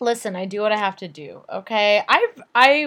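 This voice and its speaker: With a plain, everyday voice, a woman speaks at a moderate pace in a fairly high pitch with lively intonation on a very clean recording with a silent background. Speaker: podcast co-host. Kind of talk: casual chat.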